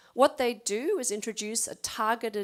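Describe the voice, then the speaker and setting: Against a silent background in a very clean recording, a woman with an Australian accent speaks at a moderate pace in a fairly high pitch. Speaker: animal geneticist. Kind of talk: lecture.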